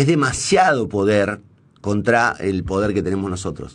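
A man speaks with a fairly low pitch. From Argentina, Santa Fe. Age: 50s. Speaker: radio host and journalist; radio host, journalist. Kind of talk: on-air monologue. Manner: hesitant, many fillers and restarts. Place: studio. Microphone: studio mic.

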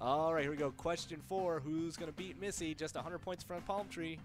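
A man is heard over clear background music. The sound is dry with no echo. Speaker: game show host. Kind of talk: trivia show commentary. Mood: playful, joking, laughing. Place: studio. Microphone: headset.

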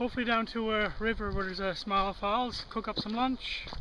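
A man's raised, projected voice at a moderate pace, dry with no echo, over light background noise. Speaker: hiking vlogger. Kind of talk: casual vlog chat. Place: forest. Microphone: phone near.

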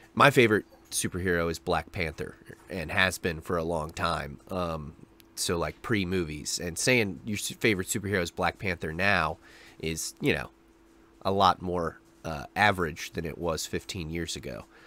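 With a bright, sharp tone and very deep, low pitch, a man talks at a moderate pace with ordinary pitch variation in a dry sound with no echo. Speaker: reaction video host. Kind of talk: casual vlog chat. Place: home room. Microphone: studio mic.

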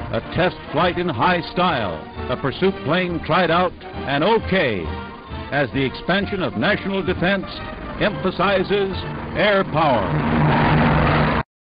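Very slow speech over clear background music. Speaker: newsreel narrator. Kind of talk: newsreel narration. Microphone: old recording.

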